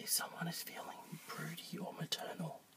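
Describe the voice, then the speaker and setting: Whispering and mumbling at a fairly slow pace over noticeable background noise. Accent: Australian. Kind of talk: ASMR talk to camera. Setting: outdoors. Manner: soft-spoken, mumbled.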